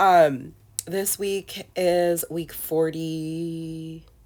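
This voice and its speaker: A husky woman's voice sits at a fairly low pitch with ordinary pitch variation. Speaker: scrapbooking content creator. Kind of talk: crafting process voiceover. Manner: casual, chatty.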